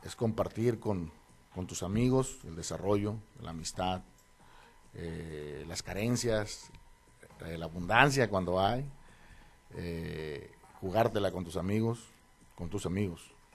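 A man's very deep, low voice at a very slow pace, with long, frequent pauses, big swings in loudness and ordinary pitch variation. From northern Mexico, Los Mochis, Sinaloa. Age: 50s. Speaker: politician, mayoral candidate. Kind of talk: radio interview. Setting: radio studio.

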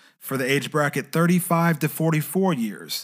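The recording is very clean, and the background is silent. A man speaks at a moderate pace. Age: 30s. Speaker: podcast host and freelancer. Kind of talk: solo podcast monologue on personal finance.

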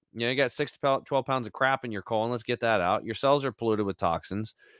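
Talking at a very fast pace, a man with a medium pitch sounds animated. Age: 50s. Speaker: health supplement company leader. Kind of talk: casual interview. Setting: remote call. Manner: loud.

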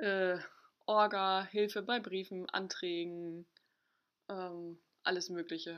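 A woman at medium pitch speaks very slowly in a monotone, flat intonation, leaving long, frequent pauses. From northern Germany, Ostholstein. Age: 20s. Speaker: family support social worker. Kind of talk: casual chat.

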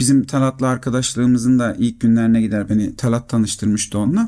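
A very fast male voice, dark and mellow in tone, with monotone, flat intonation. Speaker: podcast co-host. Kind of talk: casual chat.

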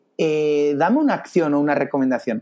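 Recorded very cleanly on a silent background, a man with a dark, mellow tone speaks in very wide pitch swings. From Spain, Barcelona. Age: 30s. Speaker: investor and China expert. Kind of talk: interview. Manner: halting, many repetitions.

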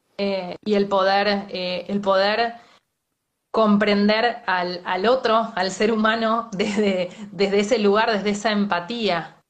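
Speaking in an Argentine accent, a woman keeps a medium pitch and monotone, flat intonation. Her pace is very slow. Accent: Rioplatense Argentine Spanish. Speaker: journalist and interviewer. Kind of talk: interview. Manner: halting.

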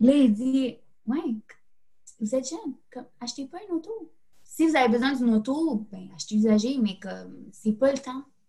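A woman's high-pitched, dark, mellow voice with lively intonation, big swings in loudness and a Quebec accent. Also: moderate pace. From Quebec, Laval. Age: 20s. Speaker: graduate student. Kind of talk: casual chat.

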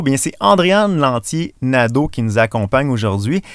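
On a very clean recording with a silent background, a man with a Quebec accent speaks at a fairly slow pace and a fairly high pitch, with very wide pitch swings. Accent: Québécois French. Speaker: podcast host. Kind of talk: casual interview chat. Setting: in a parked van.

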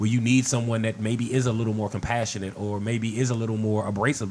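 A man's normal speaking voice, medium in pitch, at a fairly quick pace. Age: 50s. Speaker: podcast guest. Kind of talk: casual chat.

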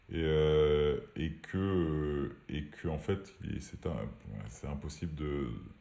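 A man speaks with a very deep, low voice and a dark, mellow tone, and there is audible echo in the room. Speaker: entrepreneur. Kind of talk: casual chat. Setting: remote recording.

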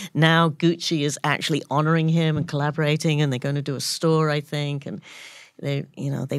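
In a very clean recording with a silent background, a woman with a London accent speaks at a very deep, low pitch with monotone, flat intonation. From London, England. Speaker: photographer. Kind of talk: casual chat. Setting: studio.

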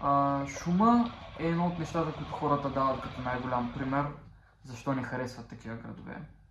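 A man with a fairly high pitch talks at a fairly quick pace. Noticeable background noise and audible room echo fill the recording. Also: ordinary pitch variation. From Bulgaria, Popovo (Targovishte). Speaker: podcast co-host. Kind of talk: casual chat.

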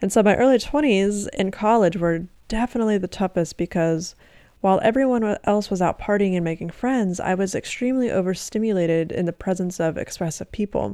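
A woman speaks at a fairly quick pace in a dark, mellow tone with ordinary pitch variation. The recording is very clean, with a silent background. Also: medium pitch for a woman. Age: 20s. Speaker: hypnotherapist and podcast host. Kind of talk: solo podcast monologue; guided breathing exercise.

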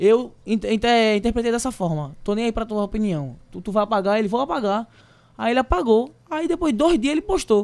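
With a high pitch and lively intonation, a man talks in an animated tone. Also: fairly quick pace. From Recife, Pernambuco, Brazil. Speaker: singer and influencer. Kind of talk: casual chat. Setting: live podcast studio.

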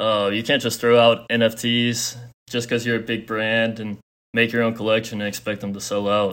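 Moderately paced speech in an American accent comes with monotone, flat intonation, in a very clean recording with a silent background. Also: man, medium pitch for a man. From Texas. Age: 20s. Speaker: college student and crypto investor. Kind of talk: interview.

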